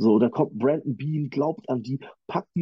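Moderate speed, ordinary variation in pitch, an ordinary speaking voice. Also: man. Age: 30s. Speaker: football fan guest, former player. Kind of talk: casual sports chat.

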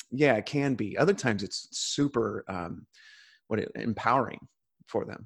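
In a very clean recording with a silent background, a man with a normal speaking voice talks at a moderate pace and medium pitch, his intonation lively and the sound dry and close with no echo. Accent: American. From California. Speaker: coach. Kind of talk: interview conversation.

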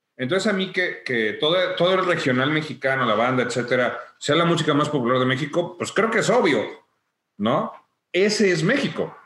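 With lively intonation and very even loudness, a man speaks at a moderate pace and a fairly high pitch amid audible room echo. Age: 40s. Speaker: music technical production agency owner. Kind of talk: interview.

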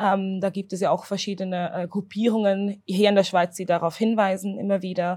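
The woman's voice sits at a medium pitch. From Switzerland, Zurich. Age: 20s. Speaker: doctoral researcher and anti-racism activist. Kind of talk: interview. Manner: halting.

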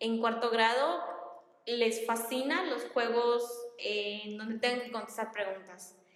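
Recorded with audible room echo, a woman speaks at a fairly slow pace. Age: 20s. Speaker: primary school teacher. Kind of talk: casual chat.

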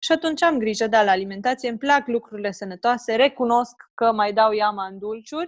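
A woman speaks at a fairly quick pace in an unremarkable speaking voice. Her pitch sits fairly high, with ordinary pitch variation. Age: 20s. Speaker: personal trainer for mothers. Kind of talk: interview, casual chat.

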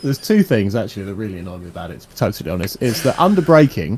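A man's medium-pitched voice at a very fast pace, with very wide pitch swings and noticeable background noise. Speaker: sim racing league host. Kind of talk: casual chat.

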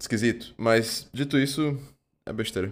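The speaker is a man. He talks at a moderate pace. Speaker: film podcast co-host. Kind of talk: casual chat. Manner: halting.

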